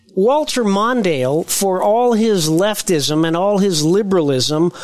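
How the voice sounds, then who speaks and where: Over noticeable background noise, a man with a high voice and an American accent talks at a very slow pace with lively intonation. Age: 60s. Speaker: political podcast co-host. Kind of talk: political talk show discussion.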